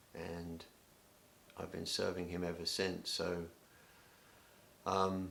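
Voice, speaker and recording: With an English accent, a man speaks very slowly in a very deep, low pitch, his bright, sharp tone flat and monotone, with long, frequent pauses and audible room echo. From England. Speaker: youth ministry director. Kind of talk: self-introduction video. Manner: hesitant, many filler words.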